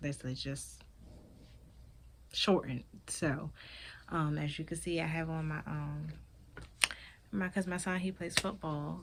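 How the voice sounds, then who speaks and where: A woman's very deep, low voice in a Maryland accent, fairly slow and fairly even, with long, frequent pauses. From Maryland, Prince George's County. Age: 20s. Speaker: vlogger and skincare business owner. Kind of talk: casual vlog introduction and product talk.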